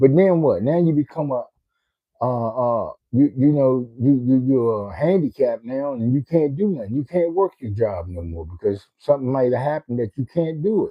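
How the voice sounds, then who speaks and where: Lively in intonation, a man of medium pitch speaks at a moderate pace. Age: 60s. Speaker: livestreamer. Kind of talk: casual livestream chat. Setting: home den, live stream. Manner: halting, repetitive.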